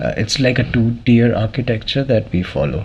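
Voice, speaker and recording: A man with a non-native accent at a moderate pace, over noticeable background noise. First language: not English. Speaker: cybersecurity expert. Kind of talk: interview. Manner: hesitant with fillers.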